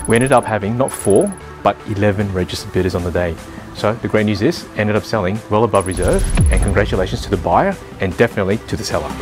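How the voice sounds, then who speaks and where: A man's fairly low voice at a very fast pace, ordinary pitch variation, clear music in the background. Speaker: real estate agent. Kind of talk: interview answer. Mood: upbeat, pleased. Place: street. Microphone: lapel.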